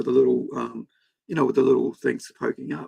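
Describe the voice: A man puts on a hoarse, raspy character voice at a fairly quick pace, with a dry, close sound and no echo.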